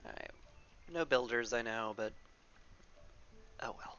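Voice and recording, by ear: Delivered at a fairly slow pace, the voice has a fairly bright tone and ordinary pitch variation.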